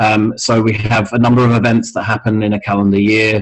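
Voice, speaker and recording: A man's flat, monotone delivery at a moderate pace. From Scotland. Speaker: mental health music organisation founder. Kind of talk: interview. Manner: hesitant with many fillers.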